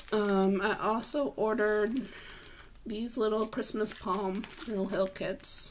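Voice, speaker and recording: Against noticeable background noise, a woman talks at a medium pitch with ordinary pitch variation. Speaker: cross-stitch shop owner and flosstube host. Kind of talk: casual talk to camera.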